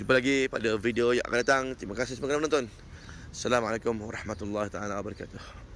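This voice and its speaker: The man talks at a very fast pace. His pitch is medium and his intonation fairly even. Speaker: umrah tour guide and video host. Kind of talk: on-location guided tour vlog. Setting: outdoors at historic mosque site.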